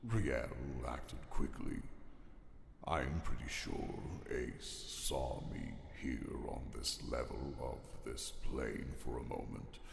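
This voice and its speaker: A put-on character voice at a very slow pace, with long, frequent pauses, clear echo and loud background noise. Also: man. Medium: audio drama. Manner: dry, deflecting.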